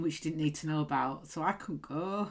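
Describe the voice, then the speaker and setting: A woman with a Yorkshire accent, on a very clean recording with a silent background. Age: 40s. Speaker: podcast host and punk musician. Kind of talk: casual chat.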